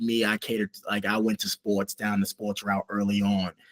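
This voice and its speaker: Recorded with a dry, close sound and no echo, a man speaks with a New York accent. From New York City (Queens, Harlem). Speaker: rugby coach. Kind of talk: casual interview. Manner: halting, many fillers.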